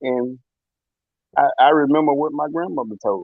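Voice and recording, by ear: Recorded with a dry, close sound and no echo, a man speaks at a moderate pace and medium pitch.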